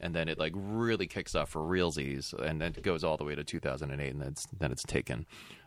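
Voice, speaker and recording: A man with a very deep, low voice and some vocal fry. He talks at a fairly quick pace with ordinary pitch variation and hardly any pauses. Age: 40s. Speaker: film podcast guest. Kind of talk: casual chat.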